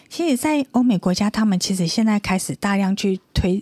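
A woman with a medium pitch and ordinary pitch variation speaks at a moderate pace, her tone dark and mellow and somewhat breathy, on a very clean recording with a silent background. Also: dry, close sound with no echo. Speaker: radio co-host and university lecturer. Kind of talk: radio talk show interview.

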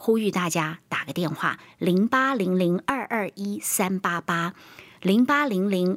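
Intonation rises and falls in a lively way. The woman's tone is animated. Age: 50s. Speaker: health radio host. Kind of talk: casual chat. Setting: studio.

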